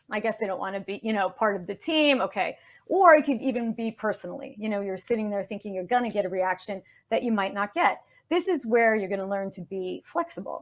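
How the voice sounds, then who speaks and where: In a New York accent, a woman talks at a fairly quick pace with a fairly high pitch, lively intonation and an animated tone. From New York City. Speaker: communication expert, speech-language pathologist. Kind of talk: interview. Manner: fast.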